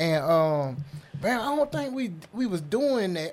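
This man's high voice swings very widely in pitch. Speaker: podcast host. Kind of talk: casual banter podcast chat. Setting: studio. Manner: animated, jokey.

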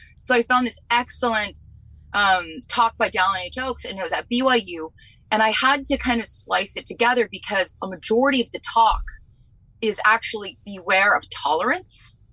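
This woman's voice has a bright, sharp tone, fairly high pitch and vocal fry. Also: ordinary pitch variation, moderate pace. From New England. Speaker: podcast host guest. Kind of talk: casual chat. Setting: video call.

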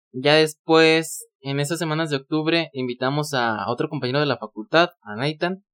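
Speaking at a moderate pace with hardly any pauses, a man uses a fairly high pitch and ordinary pitch variation in a dry, close sound with no echo. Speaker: podcaster. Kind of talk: casual chat. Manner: gets loud at times.

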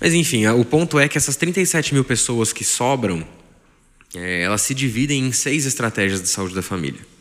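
The speaker's intonation is lively and the tempo moderate, with noticeable noise in the background. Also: man. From Brazil, Taubaté, São Paulo state. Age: 20s. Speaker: family doctor. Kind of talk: interview.

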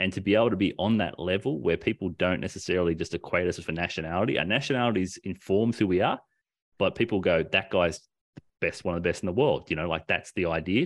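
Against a quiet background, a man with an Australian accent talks at a very fast pace in a very deep, low pitch with ordinary pitch variation. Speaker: podcast host. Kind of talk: casual chat.

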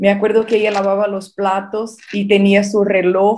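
Speaking at a fairly slow pace, a woman with a Brazilian accent has a dark, mellow tone at a medium pitch. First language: Portuguese (speaking Spanish). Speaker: marketing entrepreneur. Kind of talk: casual interview. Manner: halting.

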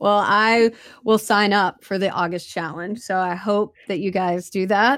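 This woman, with an American accent, talks at a fairly slow pace with fairly even intonation and a medium pitch. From US small town. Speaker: podcast host. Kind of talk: casual interview. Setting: remote call.

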